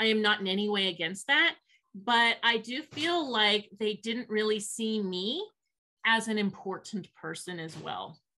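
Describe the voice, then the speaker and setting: With a normal speaking voice, a woman talks at a fairly slow pace, her fairly high pitch varying in the ordinary way. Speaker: sign language interpreter voicing a deaf guest. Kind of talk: interpreted interview, first-person voicing. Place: home room. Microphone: video call.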